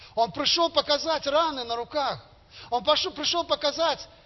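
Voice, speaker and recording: A man's extremely high-pitched voice, ordinary in pitch variation, at a moderate pace. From Belarus, Gomel region. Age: 50s. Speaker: lay preacher. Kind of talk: sermon. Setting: church.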